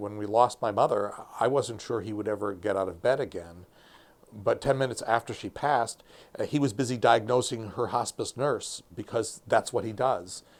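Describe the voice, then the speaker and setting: On a very clean recording with a silent background, a man speaks in a plain, everyday voice at a medium pitch, moderate pace and ordinary pitch variation. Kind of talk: interview answer.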